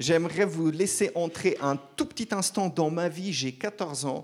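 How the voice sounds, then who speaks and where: In a normal speaking voice, a man talks at a fairly high pitch with ordinary pitch variation on a very clean recording with a silent background. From Switzerland (German-speaking part, Zurich), French-speaking family. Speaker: preacher. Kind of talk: sermon.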